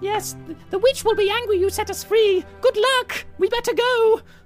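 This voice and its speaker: A man does a put-on character voice at an extremely high pitch and a moderate pace. Clear music plays in the background. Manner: excited, chattering, fawning.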